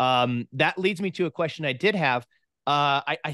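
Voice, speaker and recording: With an animated tone and ordinary pitch variation, a man speaks over a quiet background in a dry sound with no echo. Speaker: podcast host; interviewer, podcast host. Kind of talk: interview. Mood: friendly, respectful. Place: home room. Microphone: studio mic.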